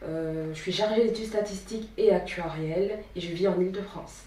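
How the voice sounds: A woman's fairly low, dark, mellow voice at a fairly quick pace, with ordinary pitch variation and audible room echo.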